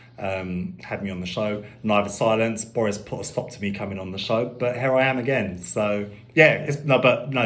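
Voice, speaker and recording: Recorded with audible room echo, a man with a London accent talks at medium pitch and a moderate pace. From London, Finsbury Park. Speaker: musician. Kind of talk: radio interview. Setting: radio studio.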